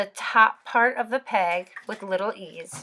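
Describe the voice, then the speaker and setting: The voice has a bright, sharp tone and moves at a very slow pace. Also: woman, very clean recording, silent background. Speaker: knitting tutorial maker. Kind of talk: tutorial.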